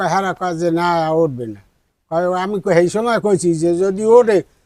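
There is a man speaking in a high voice. The pitch moves in an ordinary way. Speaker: local resident. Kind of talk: street interview. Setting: outdoors.

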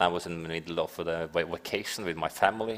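A man speaks with a Norwegian accent. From Norway. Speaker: investigative journalist. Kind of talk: panel discussion. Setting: stage with audience. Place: stage.

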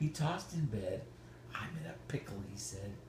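A soft-spoken man talks in an animated, playful tone against noticeable background noise. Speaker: grandfather reading to toddler. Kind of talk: bedtime story reading aloud to a toddler, with playful asides. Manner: animated, sing-song and playful, pausing to ask the toddler questions; slow, gentle and coaxing, with soft 'mm-hmm' encouragement. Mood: playful, gentle. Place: home room. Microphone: phone near.

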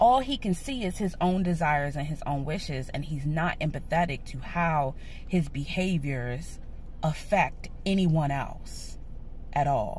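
A woman with a very deep, low pitch and lively intonation sounds somewhat breathy, the sound dry with no echo over light background noise. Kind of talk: casual vlog chat. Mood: frustrated, earnest. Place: car. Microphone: phone near.

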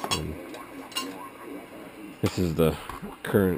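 The tone is slightly mellow, with faint background noise behind it. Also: man.

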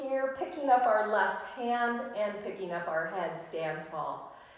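A woman speaks with lively intonation. Strong room echo surrounds her voice. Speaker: yoga instructor. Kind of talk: live-streamed guided yoga class, cueing poses and breaths in a calm, instructional tone. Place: home room. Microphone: camera far.

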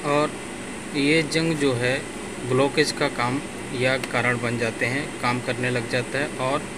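A man talks at a medium pitch with fairly even intonation. His pace is fairly slow, and clear background noise is present.

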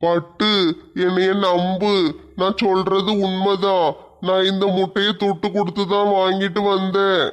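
Against a quiet background, a man puts on a character voice that is high-pitched, very slow and monotone with flat intonation. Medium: comedy sketch. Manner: whining, wheedling.

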